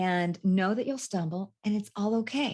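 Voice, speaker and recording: In a dark, mellow tone, a woman with an American accent speaks at a medium pitch against a quiet background. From California. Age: 60s. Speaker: life coach. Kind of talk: interview. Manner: halting.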